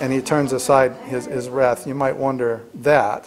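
With noticeable background noise behind him, the man talks at a moderate pace. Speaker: Bible study teacher. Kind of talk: lecture. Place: classroom. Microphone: camera far.

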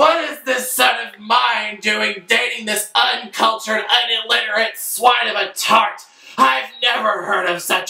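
The speech moves at a fairly slow pace, with music in the background and audible room echo. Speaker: actor playing a disapproving parent. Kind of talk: comic theatrical rant. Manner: drunken, indignant rambling storytelling. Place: home room.

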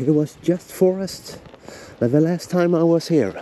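A man with a Swedish accent at a fairly slow pace, dry sound with no echo, light background noise. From Sweden, Engelholm area; Sweden. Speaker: travel vlogger. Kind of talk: casual vlog chat. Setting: outdoors. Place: forest. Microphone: phone near.

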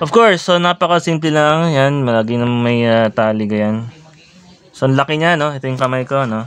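A man is talking at a moderate pace. His intonation is lively. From Philippines. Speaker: vlogger. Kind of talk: product unboxing and review. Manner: halting, many fillers. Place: home room. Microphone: phone near.

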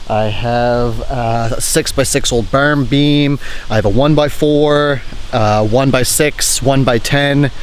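Dry sound with no echo carries a man's voice over light background noise. His intonation stays fairly even. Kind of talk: casual vlog chat. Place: forest. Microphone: phone near.

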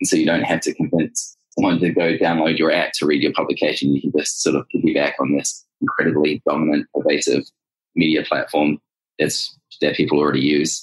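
The sound is dry and close with no echo as a man speaks at a fairly quick pace and very even loudness. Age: 30s. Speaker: startup co-founder. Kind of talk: interview.

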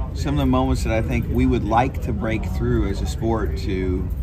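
Music plays behind the talking. The man's pace is moderate. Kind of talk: interview answer. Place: garage. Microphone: handheld.

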